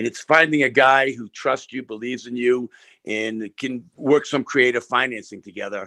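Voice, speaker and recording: A man talks at a moderate pace in a normal speaking voice. His intonation stays fairly even. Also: medium pitch for a man, big swings in loudness. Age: 60s. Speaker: real estate investor. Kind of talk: panel discussion answer.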